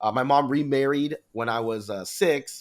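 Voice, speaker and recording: The background is silent and the recording very clean. A man talks with fairly even intonation. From US, Vietnamese immigrant family. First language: Vietnamese. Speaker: mortgage business owner. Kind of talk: interview conversation. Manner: fast; hesitant, many fillers.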